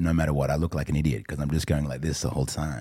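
A man with an Australian accent speaks at a very deep, low pitch. His voice has vocal fry and fairly even intonation. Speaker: entrepreneur and gang pastor. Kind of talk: interview.

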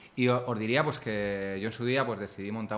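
A man talks at a fairly quick pace with a fairly low pitch and fairly even intonation. Room echo is audible. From Spain, Ciudad Real. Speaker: entrepreneur and author. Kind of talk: casual interview. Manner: halting, repeats words.

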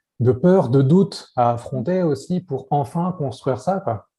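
Somewhat breathy and dark, mellow in tone, a man's voice moves at a fairly slow pace with ordinary pitch variation. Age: 30s. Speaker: parenting coach. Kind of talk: interview. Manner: casual.

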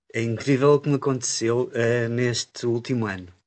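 A man's fairly even intonation sits on a medium pitch. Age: 50s. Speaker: chi kung student. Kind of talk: interview. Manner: halting.

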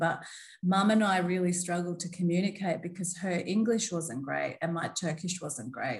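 A somewhat breathy woman with an Australian accent speaks at a moderate pace, her fairly low pitch holding fairly even intonation. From Australia, Melbourne. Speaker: diversity and inclusion specialist. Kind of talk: interview conversation.

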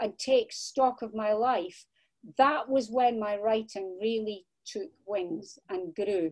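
Speaking in a Scottish accent, a woman has a fairly high pitch. Her pace is very slow. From Scotland. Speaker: crime novelist. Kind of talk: interview.

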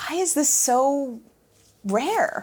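The woman's pitch swings very widely as she speaks. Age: 30s. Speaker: meditation teacher and workplace culture coach. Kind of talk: casual interview chat. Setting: studio. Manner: fast, energetic talker.

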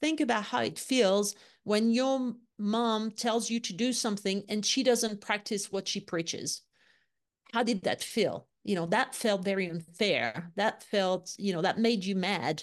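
With a French accent, a woman speaks at a medium pitch and fairly slow pace, with ordinary pitch variation. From France, Lyon. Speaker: leadership consultant. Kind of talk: interview.

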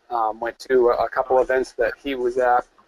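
Speaking at a moderate pace with fairly even intonation, a man with a plain, everyday voice is heard in a dry, close sound with no echo. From upstate New York. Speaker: farmer. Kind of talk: webinar interview.

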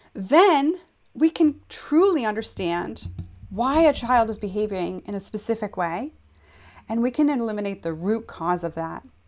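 In a very clean recording with a silent background, a woman speaks. Her pitch is fairly high and swings very widely. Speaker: podcast host and counselor. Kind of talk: solo educational talk. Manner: fast; halting, many fillers and repetitions.

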